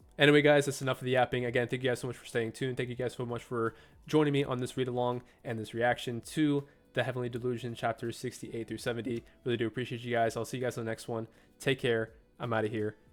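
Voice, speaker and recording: Over music in the background, a man speaks very fast at a medium pitch in a monotone, flat intonation. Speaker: manga reaction youtuber. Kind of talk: casual chat to camera, video outro. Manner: casual, filler-heavy.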